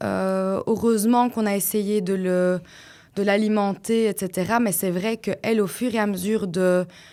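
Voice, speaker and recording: A woman at medium pitch, dark and mellow in tone, with monotone, flat intonation and very even loudness on a very clean recording with a silent background. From Belgium, Flanders (Liège-area French). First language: Dutch (speaking French). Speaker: podcast guest, mother, former teacher. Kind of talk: personal testimony in interview. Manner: hesitant, many fillers.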